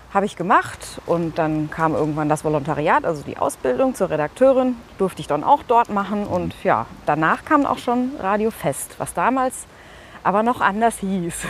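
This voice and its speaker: A woman speaks at a moderate pace in a medium pitch, with very wide pitch swings. Noticeable background noise runs beneath her voice. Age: 40s. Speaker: radio presenter and editor-in-chief. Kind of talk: casual interview.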